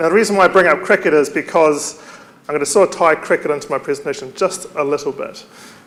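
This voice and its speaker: This man has a New Zealand accent and a high pitch with ordinary pitch variation. He talks at a fairly quick pace over noticeable background noise. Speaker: university staff member, conference speaker. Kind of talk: conference presentation. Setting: stage with audience.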